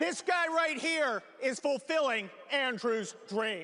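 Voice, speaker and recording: A man's raised, projected voice, fairly slow, with very wide pitch swings and crowd noise behind him. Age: 60s. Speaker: panel moderator. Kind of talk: live panel moderation. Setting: stage with audience. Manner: animated.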